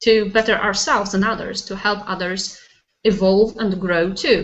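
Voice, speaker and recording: Speech comes at a fairly slow pace in a Polish accent. The intonation stays fairly even. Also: woman. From Poland. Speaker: life coach. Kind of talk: casual interview. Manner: hesitant, searching for words.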